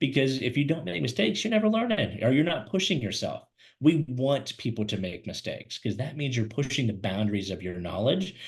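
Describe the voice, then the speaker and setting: Very wide pitch swings mark a man's somewhat breathy voice at a fairly quick pace. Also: medium pitch for a man. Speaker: career webinar host and recruiter. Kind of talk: webinar presentation. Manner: fast; animated.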